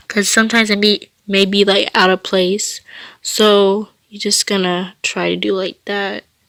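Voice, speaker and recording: In a very clean recording with a silent background, a woman speaks at a fairly slow pace in a flat monotone, the sound dry and close with no echo. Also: medium pitch for a woman. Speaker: video creator. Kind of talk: tutorial. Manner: halting.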